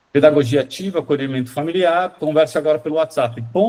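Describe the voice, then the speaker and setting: A man speaks with a dark, mellow tone. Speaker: school marketing consultant. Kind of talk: online training session. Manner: fast; animated.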